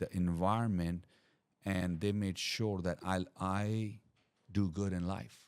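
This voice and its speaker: In a non-native accent, a man speaks with a very deep, low pitch and fairly even intonation. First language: not English. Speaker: podcast guest. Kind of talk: casual chat. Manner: halting, repeats words.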